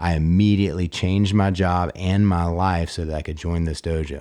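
A man's very deep, low, dark and mellow voice at a moderate pace, on a very clean recording with a silent background. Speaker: podcast host and martial arts instructor. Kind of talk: podcast intro and interview questions.

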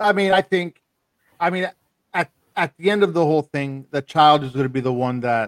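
In a dry, close sound with no echo, a man with an unremarkable speaking voice uses lively intonation. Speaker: podcast host. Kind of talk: casual group chat. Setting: video call.

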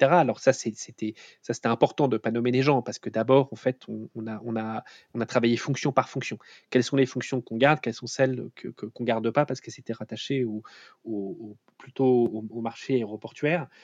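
Speaking at a moderate pace and a medium pitch, a man keeps his intonation fairly even while his loudness swings widely, captured with a dry, close sound, no echo and a quiet background. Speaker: startup CEO and founder, former autonomous vehicle researcher. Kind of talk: interview. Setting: remote recording from home. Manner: halting, many repetitions and hesitations.

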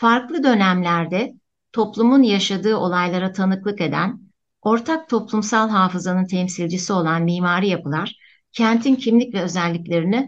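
A woman talks at a moderate pace against a quiet background. Hers is a normal speaking voice, medium in pitch with ordinary variation. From Antakya, Turkey. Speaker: architecture professor. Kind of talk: radio interview, prepared talk.

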